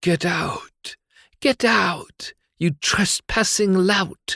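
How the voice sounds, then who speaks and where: At a very slow pace, someone performs a put-on character voice at a middle pitch. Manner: angry, scolding.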